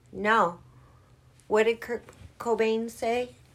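At a very slow pace, a woman speaks with a bright, sharp tone and fairly high pitch in a very clean recording with a silent background. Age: 50s. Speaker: co-host godmother. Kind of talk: casual chat.

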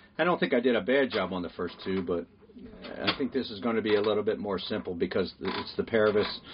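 Talking at a very fast pace, a man keeps a fairly low pitch. Noticeable background noise runs beneath him. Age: 60s. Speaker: podcast host, sailboat charter captain. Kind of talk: casual chat.

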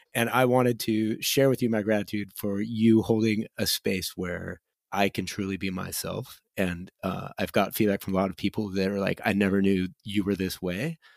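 The speaker keeps a moderate pace with hardly any pauses and fairly even intonation. The recording is very clean, with a silent background. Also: man, fairly low pitch for a man. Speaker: podcast co-host. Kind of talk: casual podcast conversation. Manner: joking, humorous.

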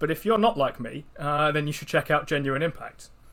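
Here a man with a British accent talks at a very fast pace and a fairly high pitch. The recording is very clean, with a silent background. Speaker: investing podcast co-host. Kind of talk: casual chat.

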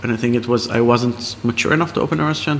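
A man's medium-pitched voice at a very fast pace, with ordinary pitch variation and noticeable background noise. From Israel. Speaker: chef and restaurant owner. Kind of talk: interview over a tasting menu. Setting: in a restaurant. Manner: halting, many fillers.

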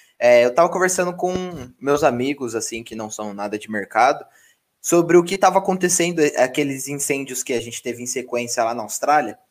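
With an unremarkable speaking voice, the speaker moves at a fairly quick pace, using lively intonation and big swings in loudness, in a very clean recording with a silent background. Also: man, medium pitch for a man. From Mogi, greater São Paulo. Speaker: podcast host, engineer. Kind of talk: casual chat.

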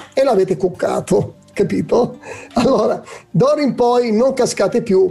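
Music plays in the background as a man speaks at a high pitch. He talks at a fairly slow pace with ordinary pitch variation. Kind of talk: religious talk show discussion. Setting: studio.

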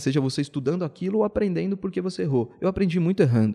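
A quiet background behind a man's dark, mellow tone. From São Paulo state, Brazil (ABC region, then Campinas). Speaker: entrepreneur in events and marketing. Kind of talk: podcast interview.

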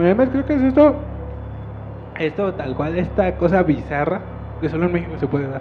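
Over noticeable background noise, the speaker moves at a fairly quick pace with very wide pitch swings and long, frequent pauses. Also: man, high pitch for a man. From Mexico City outskirts. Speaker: podcast co-host. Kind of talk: casual chat; storytelling.

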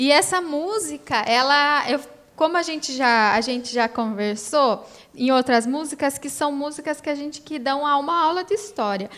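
This woman talks at a moderate pace in a high voice with lively intonation. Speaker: podcast co-host, union director. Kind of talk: casual music discussion.

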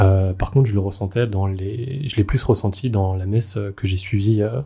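Speaking at a moderate pace, a man has a fairly low pitch and an ordinary speaking voice. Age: 20s. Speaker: layperson returning to faith. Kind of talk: casual chat.

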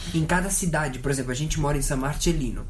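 A fairly high-pitched man's voice with fairly even intonation and audible room echo. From Italy, Caserta and Aversa area. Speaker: podcast guest. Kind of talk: casual chat.

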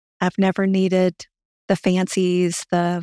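A woman at medium pitch speaks in a Southern US accent. The recording is very clean, with a silent background and a dry, close sound with no echo. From Louisiana, US South. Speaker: marketing executive. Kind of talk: interview about personal money story.

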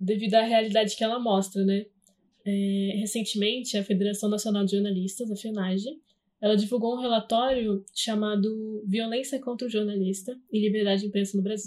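The woman's voice sits at a fairly high pitch and is somewhat breathy. She talks at a fairly quick pace in a flat monotone. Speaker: podcast host, journalism student. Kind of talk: interview; scripted narration.

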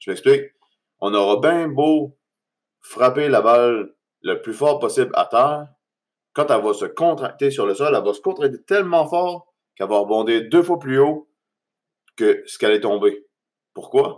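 Pausing long and often, a man with a Quebec accent speaks at a fairly slow pace and fairly high pitch, his intonation lively. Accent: Québécois French. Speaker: podcast host. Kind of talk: motivational monologue. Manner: halting, many fillers.

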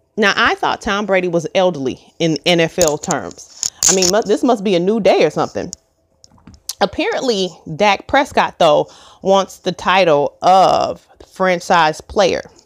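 A woman speaks in a normal speaking voice at a medium pitch and a fairly slow pace. Her loudness stays very even, and the sound is dry and close with no echo. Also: ordinary pitch variation. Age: 40s. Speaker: podcast host. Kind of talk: casual solo commentary.

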